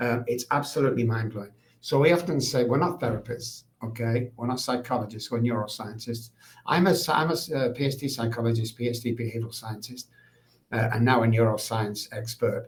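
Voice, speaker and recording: A somewhat breathy voice in a Mancunian accent, at a fairly quick pace with ordinary pitch variation. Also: man, medium pitch for a man. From England, Manchester. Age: 60s. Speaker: addiction recovery expert. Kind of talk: podcast interview.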